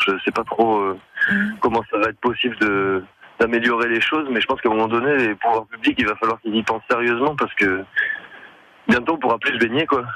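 Here a man speaks at a medium pitch and a moderate pace. His tone is bright and sharp, with ordinary pitch variation. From French Basque Country. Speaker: singer-songwriter. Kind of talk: radio interview. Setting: phone call.

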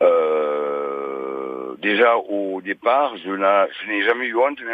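Noticeable background noise sits behind a man's voice. His pitch swings very widely. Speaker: caller, former stutterer. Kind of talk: phone-in testimony. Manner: occasional stutter.

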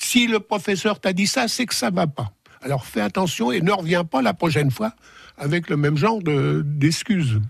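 Against a quiet background, a man speaks at a moderate pace in a fairly high pitch with very wide pitch swings. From Sens, Burgundy, France. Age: 80s+. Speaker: guest, retired author of memoir. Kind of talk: radio interview. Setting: studio.

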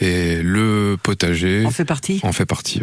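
A man speaks fairly slowly while noticeable background noise carries on behind him. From northern France. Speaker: amateur gardener. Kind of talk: radio interview. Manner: halting.

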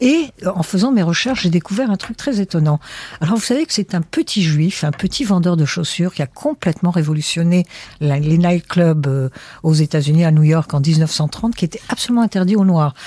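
Her fairly low, somewhat breathy voice has a dark, mellow tone and lively intonation. The woman is heard in a dry, close sound with no echo. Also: moderate pace. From Egypt. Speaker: writer and former radio producer. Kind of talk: interview.

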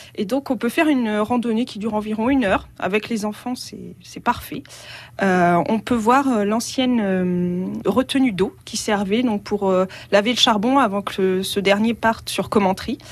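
Against a quiet background, a woman talks at a fairly slow pace. Her voice is fairly high, with ordinary pitch variation. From France, Allier (Auvergne). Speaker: travel blogger. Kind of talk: radio interview. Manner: hesitant, with frequent fillers.

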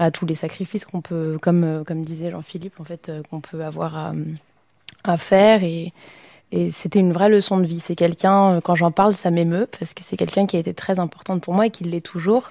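Dark, mellow in tone, the speech keeps fairly even intonation at a fairly quick pace. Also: woman, quiet background. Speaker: opera singer. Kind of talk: casual chat. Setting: live before a public audience. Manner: halting.

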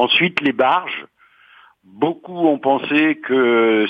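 A man's voice with ordinary pitch variation. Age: 60s. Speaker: retiree, housing cooperative resident. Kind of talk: interview.

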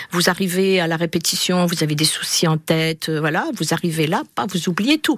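A woman talks at a fairly low pitch. Noticeable background noise runs underneath. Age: 60s. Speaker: retiree and amateur choir singer. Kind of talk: radio interview. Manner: hesitant, with many fillers.

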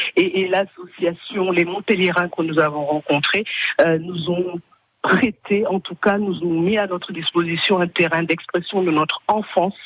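In a dry, close recording with no echo, a woman with a plain, everyday voice speaks fairly slowly at a fairly low pitch with fairly even intonation. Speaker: association member. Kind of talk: radio interview.

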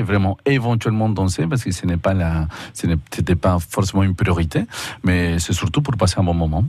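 Very deep, low male voice, moderately paced, its pitch moving in an ordinary way. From Argentina. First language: Spanish (speaking French). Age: 30s. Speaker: tango teacher. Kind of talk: radio interview.

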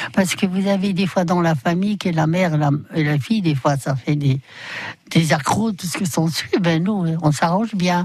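A somewhat breathy woman's voice at a fairly low pitch, slow-ish in pace, with ordinary pitch variation. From Poland. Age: 80s+. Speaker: bicycle shop owner. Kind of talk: radio interview. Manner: halting.

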